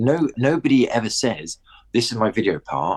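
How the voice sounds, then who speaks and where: A man with a southern English accent and lively intonation, at a moderate pace, in a dry, close sound with no echo. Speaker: skateboarding media presenter. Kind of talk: casual chat. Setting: in a house.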